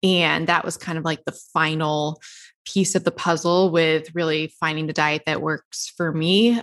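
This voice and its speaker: This woman has a plain, everyday voice, fairly low in pitch, with an American accent. She talks at a moderate pace in a very clean recording with a silent background. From US South. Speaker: podcast host and diet author. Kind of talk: casual interview.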